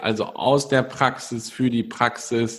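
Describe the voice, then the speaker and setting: Very slow male speech at medium pitch with fairly even intonation. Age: 20s. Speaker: podcast host. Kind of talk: interview. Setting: video call.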